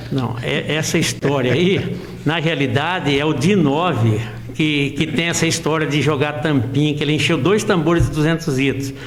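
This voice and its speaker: Over noticeable background noise and audible room echo, a man with a fairly high pitch speaks at a moderate pace, with ordinary pitch variation and very even loudness. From Brazil, interior of São Paulo state (Santa Cruz region). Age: 60s. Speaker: amateur footballer and local sports reporter. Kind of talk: interview. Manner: halting.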